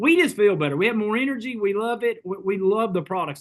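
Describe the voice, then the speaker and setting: At a fairly quick pace, a man with a high pitch and an American accent speaks with ordinary pitch variation over a quiet background. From Kentucky. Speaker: network marketing leader. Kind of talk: sales pitch.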